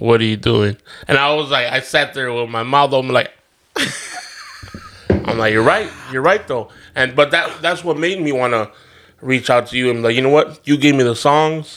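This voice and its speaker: At a moderate pace, a man of medium pitch has an unremarkable speaking voice with ordinary pitch variation. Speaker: podcast host and DJ. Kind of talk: casual interview chat. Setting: studio.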